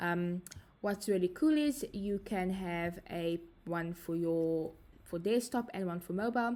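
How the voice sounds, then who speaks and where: The voice has a South African accent and a dark, mellow tone. It moves at a fairly slow pace with ordinary pitch variation. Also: woman, medium pitch for a woman. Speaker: software trainer. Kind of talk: tutorial. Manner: hesitant, frequent fillers.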